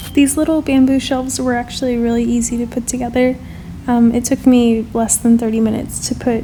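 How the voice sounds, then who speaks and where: Noticeable background noise sits behind a woman's fairly high voice. She speaks at a fairly quick pace in a monotone, flat intonation. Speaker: home gardener. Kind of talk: voice-over narration.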